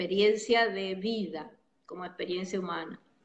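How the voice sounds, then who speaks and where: The woman has an unremarkable speaking voice at a medium pitch. She speaks at a fairly slow pace with fairly even intonation. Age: 60s. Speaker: psychologist. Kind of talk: interview.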